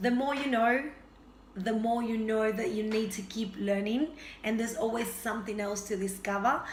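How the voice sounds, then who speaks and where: The voice carries a Spanish accent and fairly even intonation. Audible room echo and noticeable background noise come through. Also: woman. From Argentina. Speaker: health and fitness vlogger. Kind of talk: casual vlog introduction.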